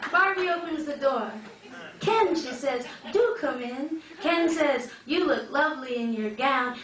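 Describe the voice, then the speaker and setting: A woman speaks fairly slowly in a high pitch with lively intonation. Background noise is noticeable. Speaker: spoken word poet. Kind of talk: live spoken word poetry performance.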